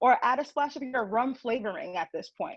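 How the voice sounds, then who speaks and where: This speaker has an American accent. The pitch varies in an ordinary way. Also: woman. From New York. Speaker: marketing director teaching a baking class. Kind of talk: tutorial. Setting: video call.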